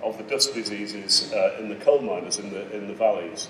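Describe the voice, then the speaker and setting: A man speaks over light background noise. The room echo is audible. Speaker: keynote speaker. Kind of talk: lecture. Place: hall. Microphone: podium.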